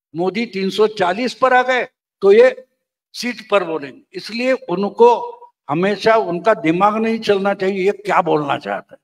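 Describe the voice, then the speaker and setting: High pitch marks this man's voice. It rises and falls by an ordinary amount. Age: 70s. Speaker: veteran political journalist. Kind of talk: interview.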